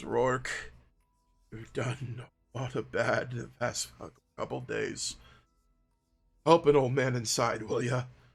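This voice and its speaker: A man puts on a raspy character voice at medium pitch. He goes at a fairly slow pace with long, frequent pauses. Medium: actual play.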